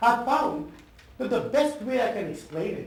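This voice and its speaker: Very wide pitch swings in an Indian accent at a moderate pace, with audible room echo and noticeable background noise. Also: man. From India, Calcutta. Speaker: professor. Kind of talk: talk to an audience.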